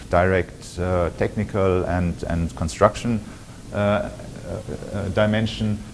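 Speaking at a fairly slow pace, a man uses a low pitch and fairly even intonation.

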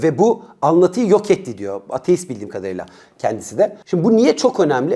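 A man with a high pitch and a dark, mellow tone talks at a fairly quick pace, his voice making very wide pitch swings. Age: 40s. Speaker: youth educator and commentator. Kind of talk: video monologue.

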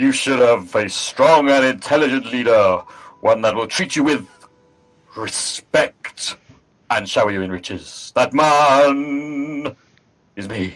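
A man puts on a character voice pitched fairly high. He goes at a fairly slow pace with long, frequent pauses. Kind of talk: theatrical speech. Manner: grandiose, persuasive.

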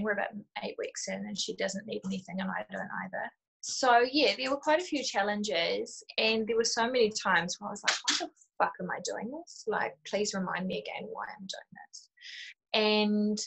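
A woman with a New Zealand accent at a moderate pace, with big swings in loudness over a quiet background. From New Zealand, Auckland. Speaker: new mother sharing breastfeeding experience. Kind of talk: casual interview. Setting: video call from kitchen. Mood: candid, relaxed, reflective. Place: home room. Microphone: video call.

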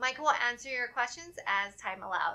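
Her voice is high-pitched, bright and sharp, with ordinary pitch variation, as this woman talks at a moderate pace. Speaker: webinar moderator. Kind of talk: formal announcements. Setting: video call. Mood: friendly, upbeat. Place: studio. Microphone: studio mic.

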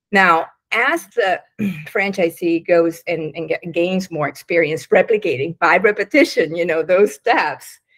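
Against a quiet background, a woman with a fairly low pitch talks at a fairly slow pace with ordinary pitch variation. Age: 60s. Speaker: business consultant; interview guest. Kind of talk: casual chat. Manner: halting. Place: home room. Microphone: video call.

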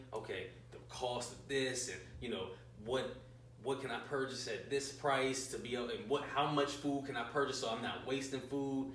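Amid noticeable background noise and audible room echo, a man at medium pitch talks at a moderate pace with fairly even intonation. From Mount Rainier, Maryland (DC area). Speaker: chef and caterer. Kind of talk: casual interview.

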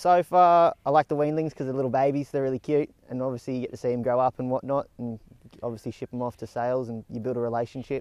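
A man talks at a very fast pace with an Australian accent, ordinary pitch variation and a dry sound with no echo. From Tamworth, New South Wales, Australia; New South Wales, Australia. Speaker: horse stud trainee. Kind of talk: interview; interview answer. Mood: upbeat, friendly. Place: farm machine.

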